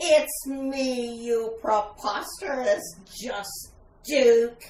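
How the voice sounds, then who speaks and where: A female-sounding, high-pitched put-on character voice at a very slow pace, with slight echo. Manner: menacing, theatrical.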